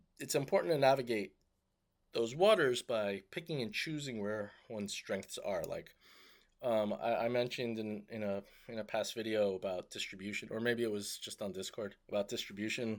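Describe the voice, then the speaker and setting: Captured in a very clean recording with a silent background, a man speaks at a medium pitch and moderate pace with ordinary pitch variation. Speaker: tech startup founder. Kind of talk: casual video update. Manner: hesitant, many fillers.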